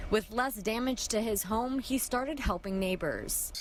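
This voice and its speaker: A fairly slow pace and very even loudness over noticeable background noise. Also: woman, fairly high pitch for a woman, ordinary pitch variation. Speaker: TV news reporter. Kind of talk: TV news report.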